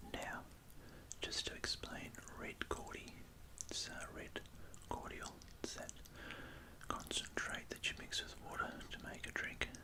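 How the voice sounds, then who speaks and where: A man whispering in an Australian accent at a fairly slow pace, with long, frequent pauses and noticeable background noise. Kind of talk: ASMR whispered food video. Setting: home recording with studio microphone. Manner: whispered, soft.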